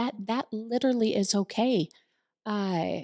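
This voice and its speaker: Over a silent background in a very clean recording, a woman with a fairly high voice speaks very slowly, with ordinary pitch variation and a dry, close sound with no echo. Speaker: co-host and salon business owner. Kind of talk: casual chat. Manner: halting, many repetitions.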